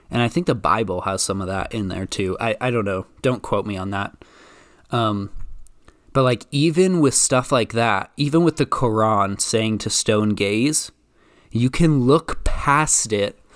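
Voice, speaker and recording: A man with an American accent speaks fairly slowly at a medium pitch, his intonation lively, on a very clean recording with a silent background. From US, Idaho. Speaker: spiritual content creator and podcast host. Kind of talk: casual solo podcast chat. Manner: relaxed, laid-back.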